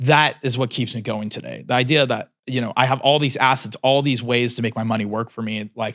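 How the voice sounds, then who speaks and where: Speaking with an American accent at a fairly quick pace with hardly any pauses, the voice keeps fairly even intonation in a very clean recording with a silent background. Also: man, medium pitch for a man. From California, US. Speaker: entrepreneur. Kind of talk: casual vlog advice talk. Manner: casual with many fillers and restarts.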